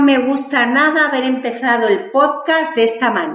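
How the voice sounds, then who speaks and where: A woman speaks at a high pitch and a moderate pace. Noticeable background noise and audible room echo fill the recording. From Extremadura, Spain (Badajoz). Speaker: podcast co-host. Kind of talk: casual chat.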